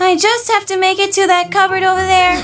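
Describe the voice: A squeaky, put-on character voice at an extremely high pitch, flat and monotone, at a fairly quick pace over clear music in the background.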